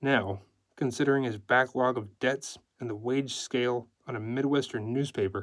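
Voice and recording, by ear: A quiet background lies behind the speech. The text is read aloud in a natural voice.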